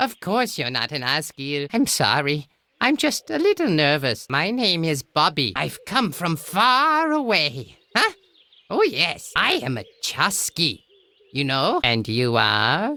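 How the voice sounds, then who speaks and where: At a fairly slow pace and a middle pitch, a put-on character voice comes through on a very clean recording with a silent background. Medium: video game. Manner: boastful, self-important, chatty.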